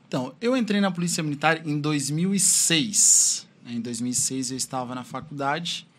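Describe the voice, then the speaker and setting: A man speaks with a fairly high pitch and ordinary pitch variation. His voice is somewhat breathy. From Criciúma, Santa Catarina, southern Brazil. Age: 30s. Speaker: police officer and drug-prevention instructor. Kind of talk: interview.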